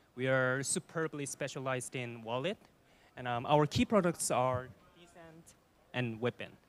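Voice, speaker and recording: With ordinary pitch variation, the man speaks at a fairly high pitch. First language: Korean. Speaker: data analyst, conference speaker. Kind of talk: conference presentation. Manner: hesitant, with fillers.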